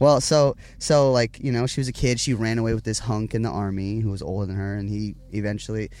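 With an American accent, a man speaks at a fairly low pitch in a dark, mellow tone. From Richmond, Virginia. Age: 20s. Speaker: lead singer of a band. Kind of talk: casual chat. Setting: in a parked tour van. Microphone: in-person recording, good quality.

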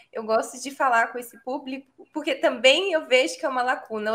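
A raised, projected voice with a bright, sharp tone speaks at a moderate pace in a Minas Gerais accent. The recording is very clean, with a silent background. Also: woman. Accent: Minas Gerais (mineiro). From São Paulo, Brazil. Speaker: teacher and educational content creator. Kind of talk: casual interview chat.

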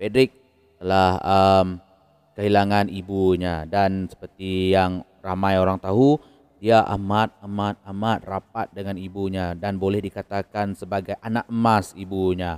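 At a fairly slow pace, the speech comes with monotone, flat intonation and a dry, close sound with no echo. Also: man, fairly low pitch for a man. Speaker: crime and horror storyteller. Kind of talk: storytelling narration. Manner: casual with many hesitations.

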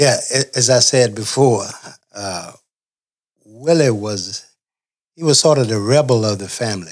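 A man with a Southern US accent, medium pitch, a fairly slow pace, ordinary pitch variation and long, frequent pauses. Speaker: family member. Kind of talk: storytelling.

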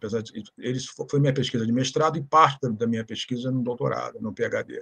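A man's voice, somewhat breathy, moves with ordinary pitch variation. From Rio de Janeiro, Brazil. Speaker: historian. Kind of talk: interview, historical lecture.

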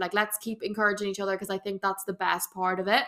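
The voice comes across bright and sharp, with an Irish accent. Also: woman. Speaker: fitness coach. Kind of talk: Q&A episode. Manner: fast; animated.

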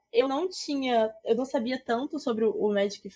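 A woman talks at a moderate pace with ordinary pitch variation and a dark, mellow tone. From Rio de Janeiro state interior. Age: 20s. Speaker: Magic streamer and historian. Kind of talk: casual chat.

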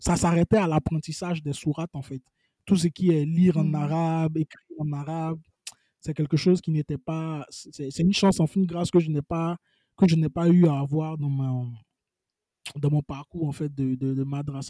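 A man speaks at a moderate pace in a fairly high pitch, his tone dark and mellow, with a dry, close sound and no echo. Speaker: web columnist and writer. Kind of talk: casual interview.

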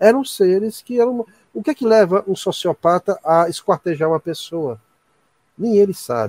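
A man with a high pitch speaks with lively intonation in a dry, close sound with no echo. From Ceará, Brazil. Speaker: university professor and ufologist. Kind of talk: casual chat.

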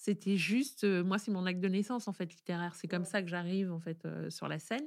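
In a very clean recording with a silent background, a woman talks in an animated tone at a medium pitch with ordinary pitch variation. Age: 50s. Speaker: author and podcaster. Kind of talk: interview conversation. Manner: animated, many hesitations.

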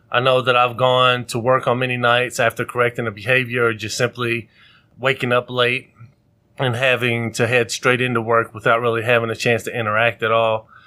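A loud, bright, sharp voice at a fairly quick pace with monotone, flat intonation. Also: man, medium pitch for a man. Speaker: podcast host, father of four. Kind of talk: casual chat.

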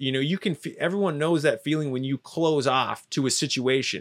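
On a very clean recording with a silent background, a man with a fairly high pitch and an ordinary speaking voice talks at a moderate pace with fairly even intonation. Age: 30s. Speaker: marketer and filmmaker. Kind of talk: casual interview. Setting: in a van.

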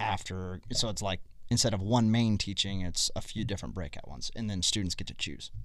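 A man with a normal speaking voice, fairly low in pitch, ordinary pitch variation and a fairly quick pace. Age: 30s. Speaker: youth ministry podcast host. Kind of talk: casual interview.

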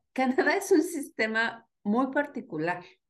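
A woman at a fairly slow pace, with very wide pitch swings, over a quiet background. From Mexico, State of Mexico (Atizapán). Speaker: migrant and social science enthusiast. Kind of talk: casual chat.

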